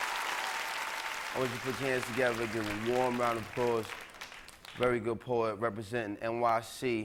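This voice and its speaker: Over crowd noise in the background, a man talks at a moderate pace with a medium pitch and monotone, flat intonation. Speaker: show host. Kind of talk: stage introduction.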